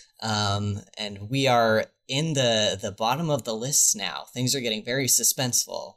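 A man talks at a fairly slow pace with hardly any pauses and ordinary pitch variation. He has an unremarkable speaking voice. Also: medium pitch for a man. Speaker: podcast host. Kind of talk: casual interview chat.

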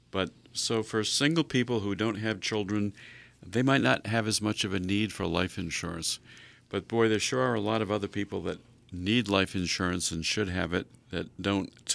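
A man's plain, everyday voice, fairly low in pitch with ordinary pitch variation, at a moderate pace. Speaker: financial advisor co-hosting a radio show. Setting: radio studio.

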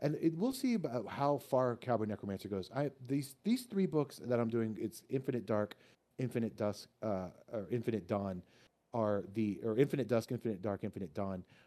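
A man with an American accent talks at a moderate pace with lively intonation. His voice is medium in pitch, with a dark, mellow tone. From Texas, Austin. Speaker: author. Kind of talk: casual chat. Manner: halting, many repetitions.

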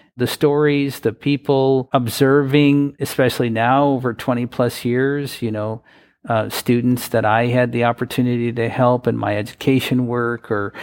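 A man speaks at a moderate pace in a medium pitch, his intonation flat and monotone over a quiet background. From US Midwest, Wisconsin. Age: 40s. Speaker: advocacy organization president. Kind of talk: interview.

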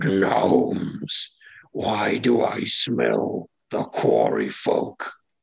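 Slowly, very slowly, a man delivers his lines. The voice is a put-on character, and it is raspy.

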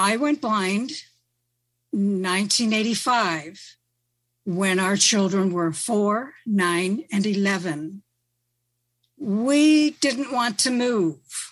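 Against a quiet background, a woman with an American accent speaks at a very slow pace with long, frequent pauses, lively intonation and very even loudness. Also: medium pitch for a woman. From western upstate New York. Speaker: retired teacher and freelance writer. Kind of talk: panel discussion. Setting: video conference call.

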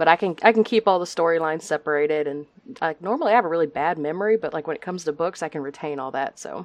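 A woman with a Texan accent talks very fast, her loudness swinging widely and her pitch varying in an ordinary way. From Texas. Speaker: nurse and podcast guest. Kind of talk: casual interview chat.

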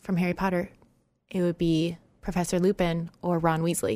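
A woman's fairly low voice at a fairly quick pace. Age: 30s. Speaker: podcast host. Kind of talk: casual chat. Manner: animated.

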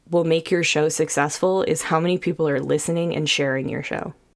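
A woman with a fairly low pitch talks at a fairly quick pace with fairly even intonation. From Sacramento, California. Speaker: podcast host. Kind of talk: casual interview.

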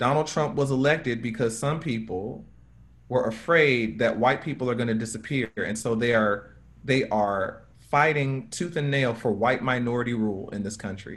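At a moderate pace, a man uses an ordinary speaking voice, medium in pitch with ordinary pitch variation. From United States. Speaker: racial justice activist. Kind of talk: panel talk. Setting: video call.

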